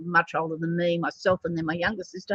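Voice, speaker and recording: In an Australian accent, a woman speaks with a dry, close sound and no echo. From Australia, Sydney northern beaches. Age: 60s. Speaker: animal communicator and psychic. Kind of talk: spiritual card reading monologue. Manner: casual, hesitant with many fillers.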